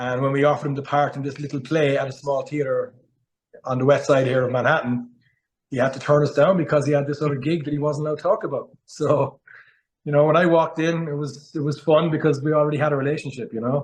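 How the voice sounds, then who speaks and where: A man with a strong Cork accent speaks at a very fast pace, somewhat breathy. His pitch is fairly high and his intonation fairly even. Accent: Cork Irish accent, strong. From Ireland, Cork. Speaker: actor. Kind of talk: interview.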